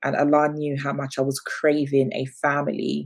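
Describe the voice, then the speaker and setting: A woman speaks with an English accent. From London, England. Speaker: business founder and media presenter. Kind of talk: interview.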